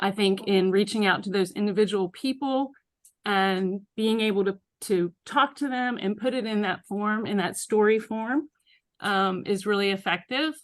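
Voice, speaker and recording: A woman talks at a moderate pace in a shaky voice, her pitch varying in an ordinary way. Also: medium pitch for a woman, quiet background. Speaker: nurse. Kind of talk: comment in group discussion.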